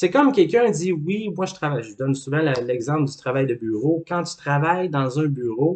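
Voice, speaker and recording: A man with a Quebec accent, fairly high-pitched, lively in intonation, at a moderate pace with hardly any pauses. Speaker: life coach. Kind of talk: educational talk.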